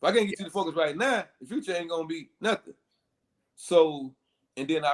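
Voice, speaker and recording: This man talks at a very fast pace with lively intonation. His pitch is fairly high. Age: 40s. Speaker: youth mentor, community organization founder. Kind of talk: podcast interview.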